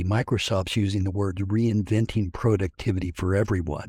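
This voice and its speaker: A somewhat breathy man with an American accent, a fairly low pitch and a dark, mellow tone, in a dry, close sound with no echo. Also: very clean recording, silent background. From Kansas. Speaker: technology consultant and podcast co-host. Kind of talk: casual professional discussion. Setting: audio program.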